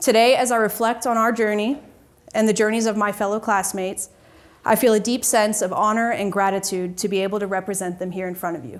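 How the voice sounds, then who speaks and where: Speaking at a very fast pace, a woman keeps her intonation fairly even. Her pitch is fairly high. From Georgia, US. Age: 20s. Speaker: student and Air Force veteran. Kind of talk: formal speech. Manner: formal.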